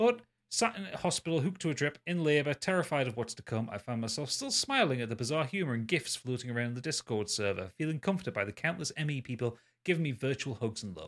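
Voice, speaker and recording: A man with a British accent speaks at a very fast pace in a fairly high voice, with lively intonation and big swings in loudness. The recording is very clean, with a silent background. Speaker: podcast co-host. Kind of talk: casual chat.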